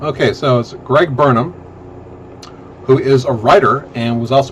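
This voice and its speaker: A man with a medium pitch and ordinary pitch variation talks at a moderate pace over noticeable background noise. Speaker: podcast co-host. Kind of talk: casual chat. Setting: livestream.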